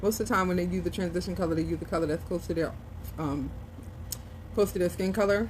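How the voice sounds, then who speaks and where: Soft-spoken delivery at a very fast pace, with vocal fry. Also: woman. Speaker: beauty vlogger. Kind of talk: makeup tutorial.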